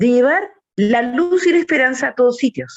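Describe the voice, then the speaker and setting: The woman's pitch swings very widely as she talks. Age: 70s. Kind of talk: religious talk.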